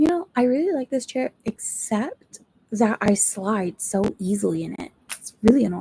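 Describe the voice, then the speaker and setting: A woman speaks in a somewhat breathy, dark and mellow voice of fairly high pitch, her intonation lively and her loudness swinging widely. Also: moderate pace, dry, close sound with no echo. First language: not English. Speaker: booktuber streamer. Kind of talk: live stream chat. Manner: casual, rambling.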